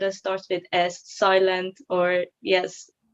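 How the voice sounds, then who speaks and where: A woman with a Persian accent, in a dry, close sound with no echo. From Iran. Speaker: psychology student. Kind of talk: video call interview. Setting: video call. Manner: hesitant, many fillers.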